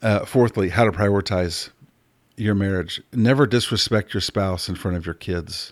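A man with an ordinary speaking voice talks at a moderate pace in a fairly low pitch. His pitch variation is ordinary, and the recording is very clean with a silent background. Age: 50s. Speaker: podcast host, life coach. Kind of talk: casual monologue.

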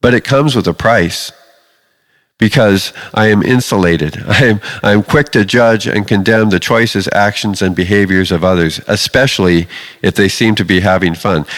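A man with a normal speaking voice talks at a moderate pace, his fairly low pitch moving with ordinary variation and his loudness very even. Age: 50s. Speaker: pastor. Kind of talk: sermon.

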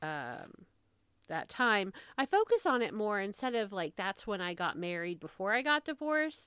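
In a dry, close sound with no echo, a woman with a plain, everyday voice speaks at a moderate pace and medium pitch in an American accent. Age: 30s. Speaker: podcast host. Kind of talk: casual solo monologue.

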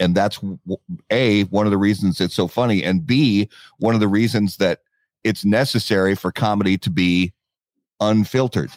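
A man speaks at a moderate pace and a fairly low pitch, with ordinary pitch variation. It is an unremarkable speaking voice, recorded with a dry, close sound and no echo. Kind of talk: casual chat. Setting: garage studio.

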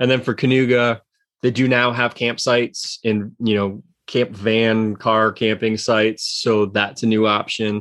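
Recorded very cleanly against a silent background, a man speaks at a fairly slow pace with a medium pitch. His intonation is monotone and flat, and his loudness stays very even. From Connecticut, US. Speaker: mountain bike coaching program host. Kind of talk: casual chat.

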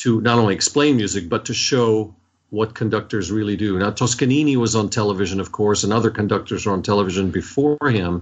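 In an American accent, a man speaks very fast. His voice sits fairly low. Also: ordinary pitch variation, hardly any pauses. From US, Washington D.C. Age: 60s. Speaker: orchestra conductor. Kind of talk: interview.

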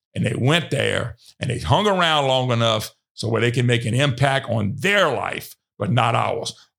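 With a Louisiana accent, a man talks at a moderate pace and medium pitch, his lively intonation marked by vocal fry. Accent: Louisiana Southern US. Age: 60s. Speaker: radio host. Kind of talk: casual monologue.

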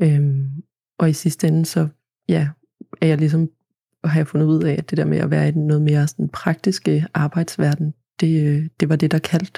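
A woman's very deep, low voice, dark and mellow and somewhat breathy, at a moderate pace with monotone, flat intonation, long, frequent pauses and very even loudness, in a dry, close sound with no echo. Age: 20s. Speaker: agricultural student. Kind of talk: interview. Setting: studio. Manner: hesitant, many fillers.

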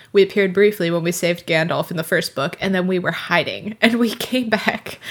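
A woman with an ordinary speaking voice at medium pitch, fairly even intonation, and a fairly quick pace. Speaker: podcast co-host. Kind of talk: casual chat. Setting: remote recording.

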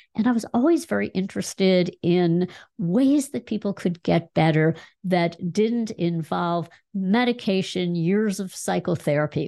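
Over a quiet background, a woman speaks in a dark, mellow tone at a medium pitch and a fairly slow pace, with ordinary pitch variation. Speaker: health coach school founder, former psychologist. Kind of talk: interview.

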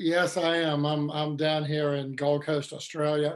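A man's fairly high voice with monotone, flat intonation. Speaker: webinar host. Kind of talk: webinar discussion, facilitating.

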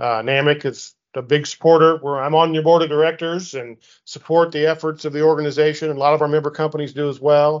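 Talking at a very fast pace, the man leaves hardly any pauses. His intonation is monotone and flat. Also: fairly high pitch for a man. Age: 50s. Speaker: insurance association CEO and interviewer. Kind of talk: interview.

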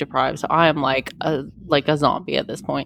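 A woman's very deep, low voice carries audible vocal fry. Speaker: podcast host. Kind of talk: casual chat.

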